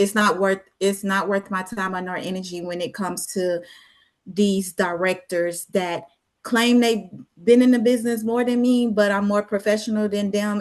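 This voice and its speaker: Fairly even intonation and a moderate pace mark this ordinary speaking voice. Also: woman. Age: 40s. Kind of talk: panel discussion.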